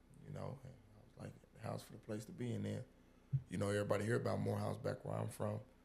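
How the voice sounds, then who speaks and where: A man speaks at a very fast pace with a very deep, low pitch and vocal fry. His pitch swings very widely, broken by long, frequent pauses. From Illinois. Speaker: restaurant owner, former college basketball player. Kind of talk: casual chat.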